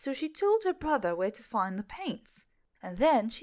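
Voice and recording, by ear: A passage is read aloud in a natural voice.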